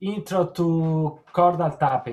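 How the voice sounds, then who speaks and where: A man with an Italian accent. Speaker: guitarist and guitar teacher. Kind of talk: casual chat. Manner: halting.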